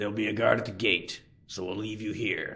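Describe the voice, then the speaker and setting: Doing a put-on character voice, a man talks fast-ish in a raspy, fairly low, flat monotone. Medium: read story.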